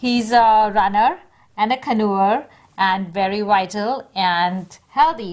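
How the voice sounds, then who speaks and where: A woman with a plain, everyday voice, a fairly high pitch and ordinary pitch variation. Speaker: interviewer. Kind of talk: interview questions.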